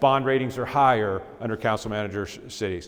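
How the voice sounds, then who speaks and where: A man talks very fast, with ordinary pitch variation, over noticeable background noise. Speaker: local government expert presenter. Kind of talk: lecture.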